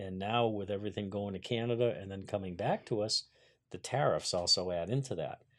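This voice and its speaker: This man has an unremarkable speaking voice, fairly low in pitch, with fairly even intonation at a fairly quick pace. The recording is very clean, with a silent background. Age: 50s. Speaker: carpenter, business owner. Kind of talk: interview. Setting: studio.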